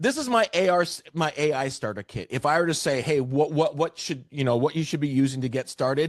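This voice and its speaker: A man with a Canadian accent speaks in an ordinary speaking voice, fairly high-pitched and fairly quick, with lively intonation and a dry, close sound with no echo. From Canada, Vancouver area. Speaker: real estate AI trainer. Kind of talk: webinar presentation.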